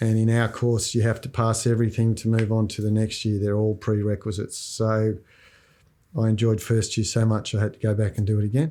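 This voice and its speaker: A man with an Australian accent speaks at a fairly quick pace and medium pitch, his tone relaxed, dark and mellow, his loudness very even and his intonation monotone and flat. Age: 60s. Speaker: veterinarian. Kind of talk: documentary interview. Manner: casual, relaxed.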